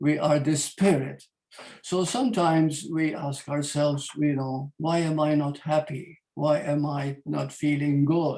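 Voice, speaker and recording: Speaking fairly slowly, a man uses a fairly high pitch, a dark, mellow tone and fairly even intonation. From Malta. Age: 80s+. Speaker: spiritual teacher. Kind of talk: spiritual talk. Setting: video call. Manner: halting.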